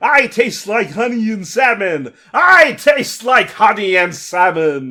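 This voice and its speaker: Someone bellows in a put-on character voice. The pace is fairly slow. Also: man, high pitch for a man. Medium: read story. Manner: bellowing, brutish.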